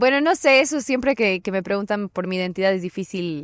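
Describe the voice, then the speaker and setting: Dry and close with no echo, a plain, everyday voice moves at a fairly quick pace with ordinary pitch variation. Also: woman. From Bolivia, Cochabamba. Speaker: political scientist. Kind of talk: casual interview.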